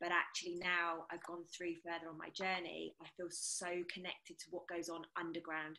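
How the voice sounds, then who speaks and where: In a British accent, a woman with a fairly low pitch and a bright, sharp tone speaks at a moderate pace with monotone, flat intonation. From England. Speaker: energy healer. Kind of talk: casual round table discussion.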